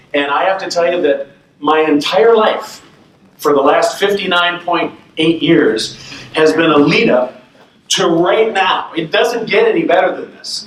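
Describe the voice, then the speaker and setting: At a fairly slow pace and with ordinary pitch variation, the voice comes through noticeable background noise and audible room echo. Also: man, high pitch for a man. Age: 50s. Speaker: speech contestant. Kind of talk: impromptu speech. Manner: animated.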